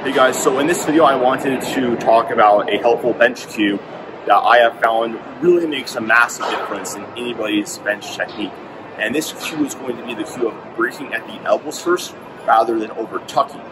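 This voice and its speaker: Noticeable noise runs in the background. Through it a man talks fairly quickly. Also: ordinary pitch variation. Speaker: fitness coach. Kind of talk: tutorial. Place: gym. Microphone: earbuds.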